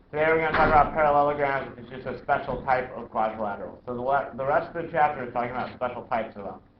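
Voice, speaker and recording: Very fast delivery with hardly any pauses, ordinary pitch variation and big swings in loudness, amid noticeable background noise and audible room echo. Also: man, fairly high pitch for a man. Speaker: math teacher. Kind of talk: classroom lecture.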